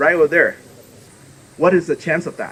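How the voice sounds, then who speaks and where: A man with a Southeast Asian accent speaks at a high pitch over noticeable background noise. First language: Hmong. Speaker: politician. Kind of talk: public dedication speech.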